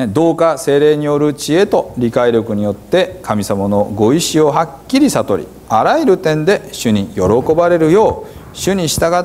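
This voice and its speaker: At a fairly slow pace, a man speaks in a fairly high pitch with very wide pitch swings. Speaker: pastor. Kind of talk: scripture reading in Hiroshima dialect. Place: church. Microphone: lapel.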